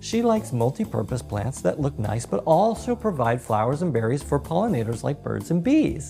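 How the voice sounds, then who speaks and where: Over music in the background, a woman with a warm, upbeat tone speaks at a moderate pace with very wide pitch swings. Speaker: drag queen. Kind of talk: storytelling to camera.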